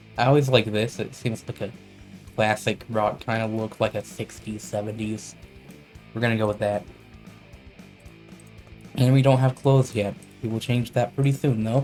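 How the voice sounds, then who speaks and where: Over music in the background, a man with a medium pitch talks at a moderate pace in a relaxed tone, with fairly even intonation and long, frequent pauses. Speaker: gamer. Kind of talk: let's play commentary. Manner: casual, relaxed.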